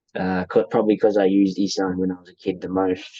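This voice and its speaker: A man's very deep, low voice with an Australian accent, dark and mellow in tone, flat and monotone, at a fairly quick pace. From Australia, raised in rural northeast Thailand from age 8. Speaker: interviewee sharing life story. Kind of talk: casual interview. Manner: hesitant, many fillers.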